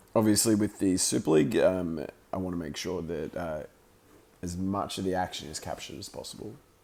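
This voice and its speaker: A man with an Australian accent speaks at a fairly quick pace in a very deep, low pitch, with a dark, mellow tone, ordinary pitch variation and big swings in loudness. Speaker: amateur sports commentator and streamer. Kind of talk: live commentary; casual chat. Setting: roller skating rink. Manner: halting, filler words.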